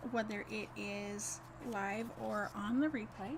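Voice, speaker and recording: Noticeable background noise and audible room echo surround the speaker. She is a woman with a medium pitch and ordinary pitch variation. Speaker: card-making instructor. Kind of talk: live craft tutorial. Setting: livestream.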